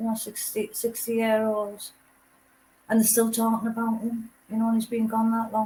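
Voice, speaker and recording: In a Teesside accent, the voice is dark, mellow and somewhat breathy, moving at a moderate pace with monotone, flat intonation. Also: woman, fairly high pitch for a woman. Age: 60s. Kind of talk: casual chat.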